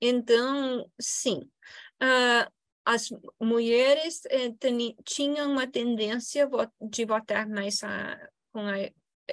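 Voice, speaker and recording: Her English accent comes through as a woman speaks at a very slow pace. She has a fairly high pitch and ordinary pitch variation. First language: English (speaking Portuguese). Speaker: political science professor. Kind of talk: Q&A answer; lecture. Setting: university event with audience. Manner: halting, many fillers.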